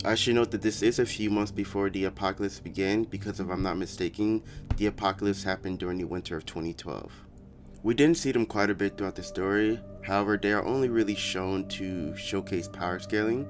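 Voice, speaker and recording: Against background music, a man talks very fast with a fairly low pitch and fairly even intonation. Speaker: anime commentary YouTuber. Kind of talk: anime lore explainer narration.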